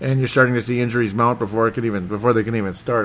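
A man's voice, fairly low in pitch. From Minnesota. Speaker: sports podcast host. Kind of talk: solo sports talk monologue. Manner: animated.

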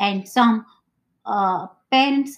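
A woman with a Gujarati accent speaks at a fairly high pitch. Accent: Indian (Gujarati). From India, Mumbai. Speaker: interviewee, host's mother. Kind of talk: casual interview. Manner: halting.

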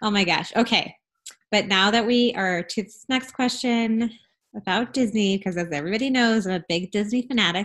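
A woman's fairly high voice with a slight Southern US accent, fairly quick in pace, with ordinary pitch variation. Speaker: podcast host and travel advisor. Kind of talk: interview, casual conversation.

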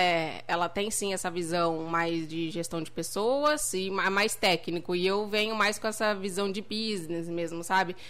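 Bright and sharp in tone, a woman speaks fairly slowly at a medium pitch with ordinary pitch variation. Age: 30s. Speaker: entrepreneur. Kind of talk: casual chat. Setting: livestream.

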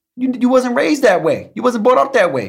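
A man speaks at a fairly quick pace in an American accent, his high voice swinging very widely in pitch. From New York City, the Bronx. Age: 30s. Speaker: police detective and military veteran. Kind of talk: casual chat.

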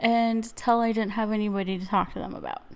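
Her tone is dark and mellow. The woman talks at a fairly quick pace in a fairly high pitch. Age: 30s. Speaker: solo podcast host. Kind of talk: casual monologue. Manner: animated.

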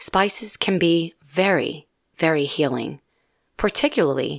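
A plain, everyday voice at a moderate pace with ordinary pitch variation, recorded very clean with a silent background and a dry, close sound with no echo. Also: woman. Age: 40s. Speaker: nurse practitioner and podcast host. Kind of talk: educational monologue.

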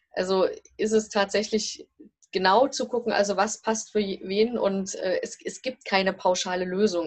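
A woman speaks at a medium pitch. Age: 40s. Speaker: family and career coach. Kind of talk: interview. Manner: hesitant, many filler sounds.

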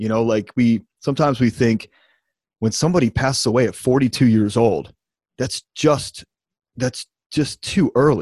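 Moderate pace and ordinary pitch variation, with a dry, close sound, no echo, a very clean recording and a silent background. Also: man. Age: 30s. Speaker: podcast host. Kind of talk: podcast interview. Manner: animated.

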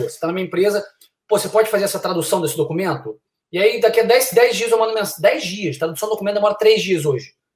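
A man speaks at a very fast pace. His pitch sits high. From Brazil, Niterói (Rio de Janeiro). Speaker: college soccer coach. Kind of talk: casual chat.

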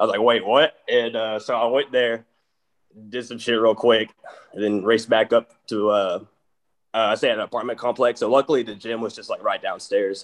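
A medium-pitched man's voice with an East Texas accent and monotone, flat intonation. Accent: East Texas drawl. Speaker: metal band member. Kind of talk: casual interview chat.

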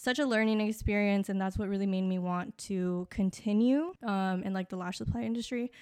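A woman with an American accent, medium pitch, ordinary pitch variation, an unremarkable speaking voice. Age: 20s. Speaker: lash technician and business owner. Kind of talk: casual interview. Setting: indoors in air conditioning.

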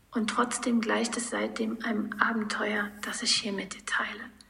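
The speech moves at a fairly slow speed, with clear background noise under it. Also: woman. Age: 40s. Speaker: podcast host. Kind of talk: personal monologue.

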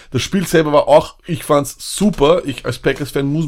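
An ordinary speaking voice from a man, fairly high in pitch, with fairly even intonation. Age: 30s. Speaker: fantasy football podcast co-host. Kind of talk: casual chat.

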